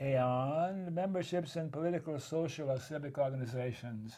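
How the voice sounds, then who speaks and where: A man speaks with a dark, mellow tone that is somewhat breathy. His intonation is lively. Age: 80s+. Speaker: talk show host. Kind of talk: interview.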